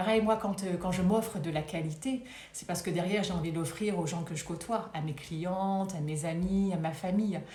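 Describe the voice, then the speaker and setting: Noticeable background noise and audible room echo surround the voice. A woman talks at a moderate pace. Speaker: wellbeing coach. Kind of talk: live stream talk. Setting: live video stream.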